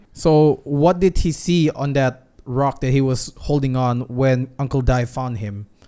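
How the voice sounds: A man's medium-pitched voice has a dark, mellow tone that is also clear and smooth. He talks at a fairly slow pace with fairly even intonation.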